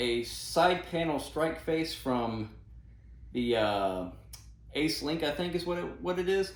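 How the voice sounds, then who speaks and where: A man's fairly high voice, very slow and lively in intonation, with audible room echo. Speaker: gear reviewer. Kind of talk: tutorial. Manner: casual, with fillers and self-corrections.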